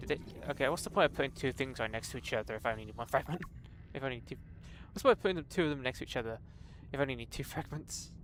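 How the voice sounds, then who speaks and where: This man talks at a very fast pace with lively intonation. His pitch is medium, with vocal fry. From Britain. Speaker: video game streamer. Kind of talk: live gameplay commentary. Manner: casual, thinking aloud.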